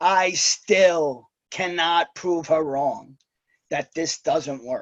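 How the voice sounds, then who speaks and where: A man with a New York accent speaks at a very slow pace with lively intonation. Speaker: network marketer with Wall Street job. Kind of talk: testimony. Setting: video call.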